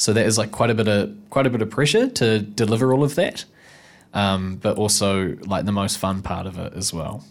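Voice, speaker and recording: With a New Zealand accent, a man talks at a fairly low pitch. His pace is moderate and his pitch varies in an ordinary way. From New Zealand, Nelson. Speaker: actor. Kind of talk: casual chat. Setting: studio.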